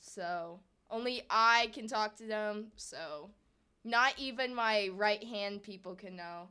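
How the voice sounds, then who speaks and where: A quiet woman's voice, fairly high and bright with a sharp tone, with ordinary pitch variation. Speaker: gaming streamer. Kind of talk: casual live stream chat. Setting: live stream.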